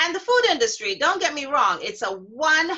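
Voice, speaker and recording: A woman speaks in a raised, projected voice with a bright, sharp tone and very wide pitch swings against a quiet background. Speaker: show host. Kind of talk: online show presentation. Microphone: webcam.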